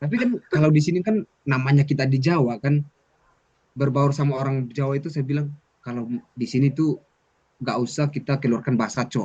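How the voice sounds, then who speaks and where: Fairly high-pitched for a man, this voice has a dark, mellow tone and sounds somewhat breathy. He moves at a fairly quick pace with ordinary pitch variation, yet takes long, frequent pauses. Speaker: student mentor. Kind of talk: casual chat.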